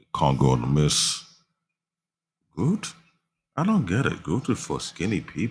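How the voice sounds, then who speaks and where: With vocal fry and a very deep, low pitch, a man speaks at a moderate pace, his voice making very wide pitch swings and big swings in loudness, broken by long, frequent pauses. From Africa. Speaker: livestreamer, anime reviewer. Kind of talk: casual livestream chat.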